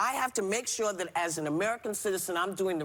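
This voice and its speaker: A woman with a fairly low pitch talks at a fairly quick pace with lively intonation over noticeable background noise. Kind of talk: passionate on-air rant. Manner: indignant, forceful, repetitive.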